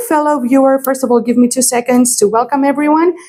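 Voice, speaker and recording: A woman speaks in a high pitch with a Greek accent. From Greece. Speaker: astrologer and tarot reader. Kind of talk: astrology forecast talk to camera. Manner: hesitant, many fillers.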